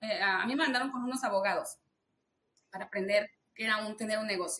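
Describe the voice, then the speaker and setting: This woman's voice has a bright, sharp tone. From Mexico City, Mexico. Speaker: business owner. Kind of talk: interview.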